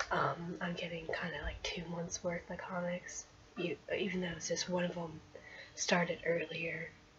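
The speech is quiet and fairly slow, with noticeable background noise behind it. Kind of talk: casual unboxing talk to camera.

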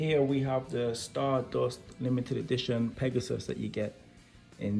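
Faint music plays in the background as the speech moves at a moderate pace with ordinary pitch variation. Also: man. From Wolverhampton, England. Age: 20s. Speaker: toy reviewer YouTuber. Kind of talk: casual unboxing talk to camera. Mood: enthusiastic. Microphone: phone near.

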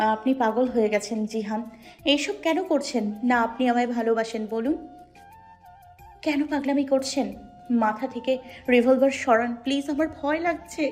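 A shaky, put-on character voice, female-sounding and high-pitched, at a moderate pace with music in the background. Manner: fearful, pleading.

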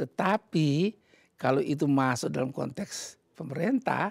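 Against a quiet background, a man's voice swings very widely in pitch, with a dry sound and no echo. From Indonesia. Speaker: ambassador; interviewee. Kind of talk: interview. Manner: halting. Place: home room. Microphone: lapel.

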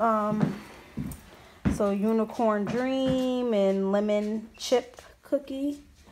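With audible room echo, a woman speaks at fairly high pitch with ordinary pitch variation.

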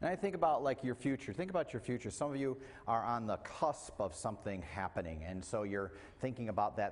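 A man at a fairly quick pace. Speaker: preacher. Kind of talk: sermon. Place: church.

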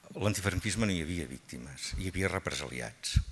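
A man's very deep, low voice at a moderate pace. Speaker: panel speaker. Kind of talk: formal speech. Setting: stage with audience. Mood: calm, reflective. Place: hall. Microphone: podium.

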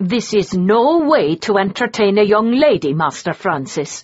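A woman puts on a raspy character voice with a medium pitch. She speaks at a moderate pace. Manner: scolding.

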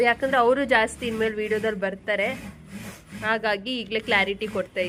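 With noticeable background noise, a woman speaks in fairly even intonation. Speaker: lifestyle vlogger. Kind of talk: casual vlog narration.

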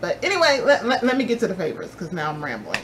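Light background noise behind a woman speaking. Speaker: beauty vlogger. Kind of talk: casual vlog chat. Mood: cheerful, excited about fall. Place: home room. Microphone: phone near.

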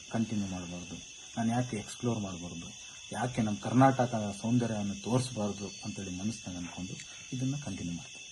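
A man speaks at a fairly low pitch with ordinary pitch variation and big swings in loudness. Room echo is audible, and background noise is noticeable. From Karnataka, Chitradurga district. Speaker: motovlogger. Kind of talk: interview.

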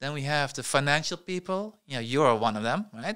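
Against a quiet background, a man with a fairly high pitch and a bright, sharp tone speaks with lively intonation. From Netherlands. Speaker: tech entrepreneur; podcast guest. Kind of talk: interview. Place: studio. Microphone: studio mic.

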